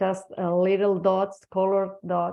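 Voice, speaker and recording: With a Spanish accent, a woman speaks at a medium pitch in a monotone, flat way. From Spain. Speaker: energy healing practitioner and translator. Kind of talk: interview testimony. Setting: online webinar. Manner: halting.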